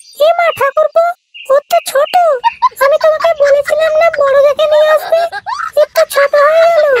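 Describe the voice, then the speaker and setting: An extremely high-pitched, cartoonish character voice at a moderate pace. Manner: sweet, coaxing, addresses men with 'go'.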